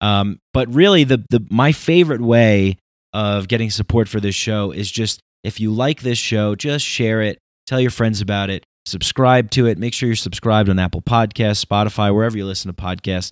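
A man's ordinary speaking voice, fairly low in pitch, with ordinary pitch variation, a moderate pace, and a dry, close sound with no echo. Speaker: podcast host. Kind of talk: casual conversation. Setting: guest's home.

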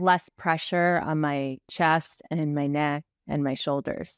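A woman speaks at a very slow pace with fairly even intonation. The sound is dry with no echo, and the background is quiet. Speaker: ADHD coach podcast host; podcast host. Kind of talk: casual interview. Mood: reflective, emotional. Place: home room. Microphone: studio mic.

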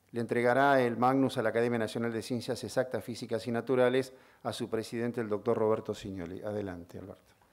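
A man at a very fast pace with fairly even intonation, against a quiet background. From Argentina. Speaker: TV host and award ceremony organizer; ceremony host. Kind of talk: ceremony speech. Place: hall. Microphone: podium.

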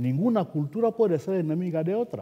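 The voice has a dark, mellow tone and very wide pitch swings, at a fairly slow pace. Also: man. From Equatorial Guinea. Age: 70s. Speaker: writer; writer on a panel. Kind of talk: panel discussion. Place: hall. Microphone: headset.

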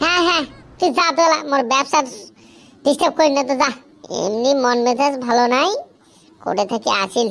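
A female-sounding voice performs a cartoonish character voice. It is high in pitch at a moderate pace. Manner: grumpy, irritable, complaining.

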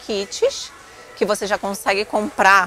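A woman talks at a fairly slow pace. The sound is dry with no echo, and faint music plays in the background. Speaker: vlogger. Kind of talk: casual vlog chat. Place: shop. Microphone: phone near.

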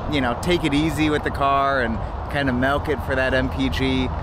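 A man at a fairly quick pace with ordinary pitch variation, dry sound with no echo, and noticeable background noise. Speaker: car vlogger. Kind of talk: casual vlog chat. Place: street. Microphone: phone near.

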